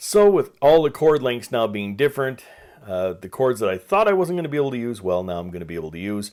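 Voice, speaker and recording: Very wide pitch swings and big swings in loudness mark this speech at a very fast pace. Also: man, medium pitch for a man. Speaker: home studio hobbyist and piano teacher. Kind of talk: casual video diary. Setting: home music studio. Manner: soft-spoken.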